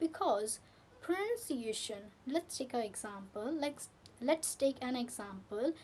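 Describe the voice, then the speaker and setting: A woman speaks at a fairly slow pace. Her high voice has lively intonation. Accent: Indian. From India, Delhi. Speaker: English teacher. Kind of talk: tutorial. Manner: repetitive, halting.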